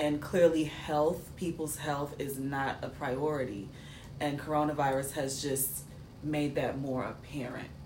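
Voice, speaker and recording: A woman with an American accent speaks slowly-ish, at a fairly slow pace, in a very deep, low pitch with fairly even intonation. Noticeable background noise and audible room echo surround her voice. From New York City. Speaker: podcast co-host. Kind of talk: casual chat.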